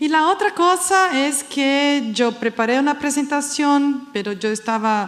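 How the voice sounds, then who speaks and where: A woman speaks with a Brazilian accent and lively intonation. Audible room echo and noticeable background noise accompany her voice. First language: Portuguese (speaking Spanish). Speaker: education expert, panel speaker. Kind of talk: conference talk. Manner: halting.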